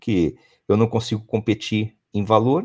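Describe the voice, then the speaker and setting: Medium-pitched male speech at a moderate pace, on a very clean recording with a silent background. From São Paulo state countryside, Brazil. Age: 40s. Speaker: company founder and CEO. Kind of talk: interview. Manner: halting, many repeated words.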